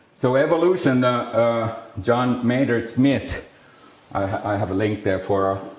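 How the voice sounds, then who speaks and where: In a room with audible echo, a man with a Finnish accent speaks at a medium pitch and a fairly slow pace with ordinary pitch variation. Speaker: speech scientist. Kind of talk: lecture. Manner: halting, many fillers and restarts.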